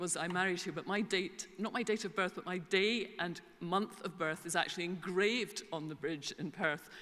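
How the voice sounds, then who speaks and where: A woman with a Scottish accent speaks at a moderate pace in a medium pitch, her intonation fairly even. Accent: Scottish, back from English. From Scotland. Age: 60s. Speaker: information management consultant. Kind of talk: conference keynote. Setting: stage with audience. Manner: hesitant fillers.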